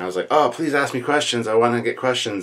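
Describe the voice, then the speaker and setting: A man rattles along at a very fast pace with ordinary pitch variation. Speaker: channel host. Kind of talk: casual Q&A vlog chat. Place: home room.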